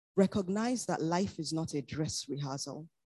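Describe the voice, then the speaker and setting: Somewhat breathy, a woman's voice has a very deep, low pitch and a dark, mellow tone. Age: 40s. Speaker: pastor. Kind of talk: sermon.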